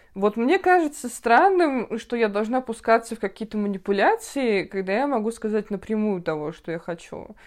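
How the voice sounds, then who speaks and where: Here is a woman with a plain, everyday voice at a fairly high pitch and a moderate pace. Her intonation is lively, she hardly pauses, and the background is quiet. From northern Russia, Siberia. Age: 20s. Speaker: podcast host, journalist. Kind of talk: casual chat.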